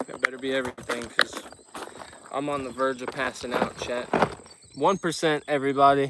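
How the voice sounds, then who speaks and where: Against noticeable background noise, a man at medium pitch talks fairly quickly in a flat monotone, his loudness swinging widely and his speech broken by long, frequent pauses. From United States. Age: 20s. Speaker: fishing streamer. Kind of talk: casual chat.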